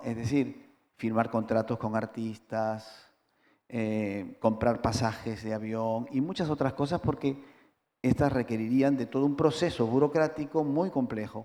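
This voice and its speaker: On a very clean recording with a silent background, a man talks at a fairly slow pace. His medium-pitched voice has a dark, mellow tone and ordinary pitch variation. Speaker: cultural manager. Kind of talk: panel discussion. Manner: halting.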